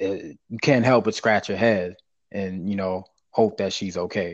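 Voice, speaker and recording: A man with an American accent, an unremarkable speaking voice, fairly slow pace and fairly even intonation against a quiet background. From US South, small town. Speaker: podcast co-host. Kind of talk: casual chat.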